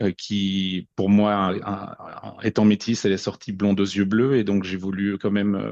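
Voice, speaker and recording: Fairly slow and fairly low in pitch, a man speaks. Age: 40s. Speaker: podcast guest sharing personal story. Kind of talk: personal testimony. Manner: halting, many repetitions and fillers.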